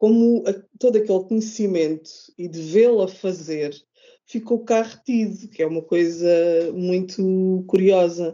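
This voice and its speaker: A woman at a medium pitch, very slow pace, ordinary pitch variation. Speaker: craft podcaster and blogger. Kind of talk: casual interview chat. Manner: halting, repeats words.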